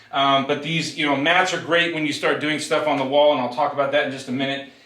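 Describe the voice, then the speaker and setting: With audible room echo and noticeable background noise, a man speaks in a monotone, flat intonation. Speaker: fitness vlogger. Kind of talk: tutorial. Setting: garage home gym. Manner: fast.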